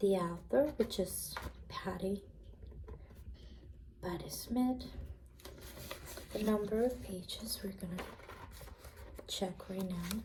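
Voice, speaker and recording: Soft-spoken and at a very slow pace, a woman talks with long, frequent pauses over noticeable background noise. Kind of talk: ASMR role play, soft-spoken library clerk.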